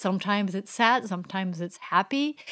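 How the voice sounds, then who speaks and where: A woman speaks in a French accent. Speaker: street photographer and workshop teacher. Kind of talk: casual interview chat. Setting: remote online call.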